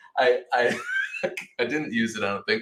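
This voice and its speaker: The speech rushes at a very fast pace in a Rhode Island accent. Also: man. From Rhode Island, US. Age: 40s. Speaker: photojournalist. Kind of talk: casual interview chat. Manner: animated, repeats words.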